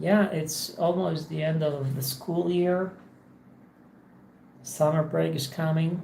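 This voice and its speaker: A woman's very deep, low voice at a very slow pace, with long, frequent pauses and audible room echo. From Poland. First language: Polish. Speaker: English teacher streamer. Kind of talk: casual livestream monologue. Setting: home office. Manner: halting, many repetitions.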